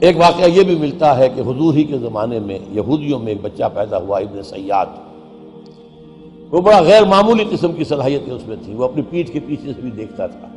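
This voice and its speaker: A man's fairly high-pitched voice with very wide pitch swings and big swings in loudness, music in the background. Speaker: Islamic religious scholar. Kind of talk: religious sermon.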